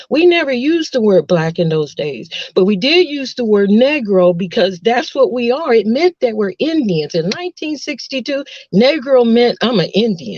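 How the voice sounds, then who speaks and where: A woman with an American accent, moderate pace and very wide pitch swings. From Texas. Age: 60s. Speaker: nurse. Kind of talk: casual chat. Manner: halting.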